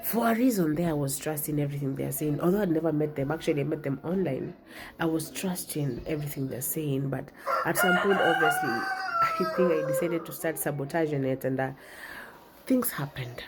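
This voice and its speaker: A woman with a very deep, low pitch talks at a fairly quick pace with ordinary pitch variation. Audible room echo and noticeable background noise surround her voice. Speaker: therapist and content creator. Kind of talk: casual storytelling monologue.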